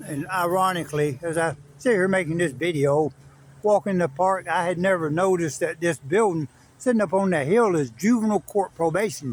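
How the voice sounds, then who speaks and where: Speaking with an American accent, a man has a high pitch and ordinary pitch variation. His pace is fairly quick. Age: 60s. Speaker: former prisoner sharing his story. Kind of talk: casual vlog monologue. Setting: outdoors in a park. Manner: halting, many fillers.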